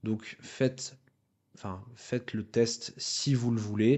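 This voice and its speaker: This voice belongs to a man. The intonation is fairly even throughout. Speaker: voice-over and dubbing artist. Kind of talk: interview testimony. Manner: stutter; halting with many fillers.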